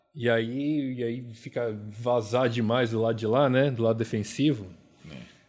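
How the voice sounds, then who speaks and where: Using a normal speaking voice, a man talks at medium pitch and a fairly slow pace with fairly even intonation. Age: 40s. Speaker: basketball podcast co-host. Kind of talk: casual chat.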